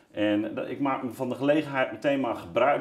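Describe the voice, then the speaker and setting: A man's voice carries audible room echo. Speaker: talk show host. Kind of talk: interview host introduction. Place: studio. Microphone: lapel.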